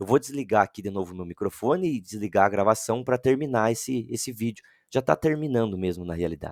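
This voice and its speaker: A man talks at a very fast pace with lively intonation and hardly any pauses, in a dry, close sound with no echo. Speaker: teacher trainer. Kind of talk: online training session.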